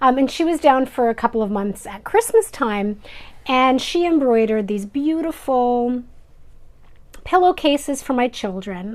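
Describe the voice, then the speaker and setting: The speaker has a Canadian Prairie accent. The pace is moderate. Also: woman. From Canada, Manitoba. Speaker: craft YouTuber. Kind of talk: casual vlog chat. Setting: filming indoors at home.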